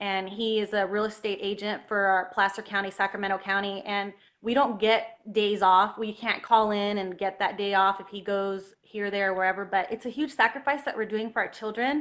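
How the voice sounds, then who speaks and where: A woman's medium-pitched voice at a moderate pace with fairly even intonation and hardly any pauses, over a quiet background. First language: Spanish. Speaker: health freedom activist, homeschooling mother. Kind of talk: interview on livestream.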